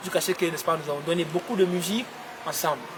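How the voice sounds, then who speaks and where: Noticeable background noise runs under this recording. A man talks fairly quickly in a high voice. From Guinea. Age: 20s. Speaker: pop singer. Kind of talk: interview answer.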